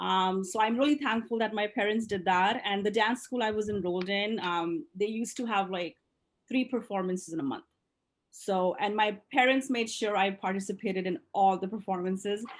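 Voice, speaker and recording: With an Indian accent, a woman talks at a moderate pace and medium pitch, with ordinary pitch variation against a quiet background. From India, moved to US at 10. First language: Indian language. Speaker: dance studio owner. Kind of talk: interview. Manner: hesitant, many fillers.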